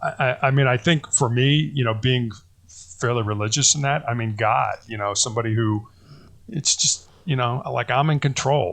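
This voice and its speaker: Speaking in an American accent, a man has a somewhat breathy voice at medium pitch, with fairly even intonation and a moderate pace. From US Midwest, Chicago. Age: 60s. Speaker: cancer survivor, former college basketball player. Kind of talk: interview. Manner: halting, many false starts.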